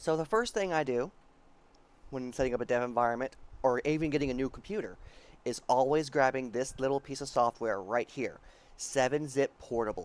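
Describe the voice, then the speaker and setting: The pace is fairly quick, with ordinary pitch variation. The voice is quiet. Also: man, medium pitch for a man. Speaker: programming tutorial youtuber. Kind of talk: tutorial.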